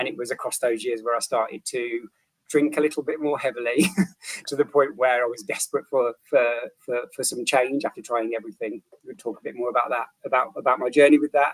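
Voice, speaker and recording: With a British accent, a man speaks at a fairly quick pace in a dry, close sound with no echo. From the English Midlands. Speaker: recovery coach. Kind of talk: interview. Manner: halting, repeats words.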